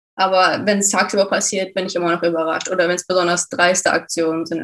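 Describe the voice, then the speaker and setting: The woman's voice sits at a fairly low pitch, and her intonation is monotone and flat. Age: 20s. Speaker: creative professional. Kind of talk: testimony.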